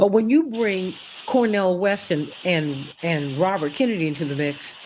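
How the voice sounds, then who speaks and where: Swinging very widely in pitch, a woman speaks with an American accent. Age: 60s. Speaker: talk show host. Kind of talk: political talk show commentary. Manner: animated.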